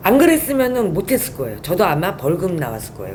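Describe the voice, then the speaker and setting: A woman talks over noticeable background noise. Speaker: whistleblower. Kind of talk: interview testimony.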